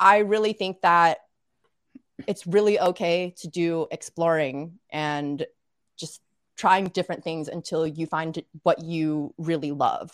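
With an American accent, a woman speaks very slowly at a fairly low pitch, her loudness swinging widely while her intonation stays fairly even, in a dry, close recording without echo. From US South, Little Rock, Arkansas. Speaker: podcaster and content creator for a tech company. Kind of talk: casual chat. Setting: live stream video call.

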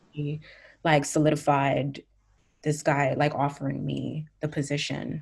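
Speaking at a fairly slow pace, a woman with an American accent uses a very deep, low pitch and a monotone, flat intonation, with vocal fry. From New Jersey / Brooklyn, New York. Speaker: musician and former radio journalist. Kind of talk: casual interview.

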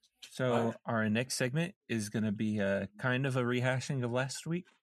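A medium-pitched male voice, an ordinary speaking voice, with ordinary pitch variation and a moderate pace. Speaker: podcast host. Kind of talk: casual comedy chat.

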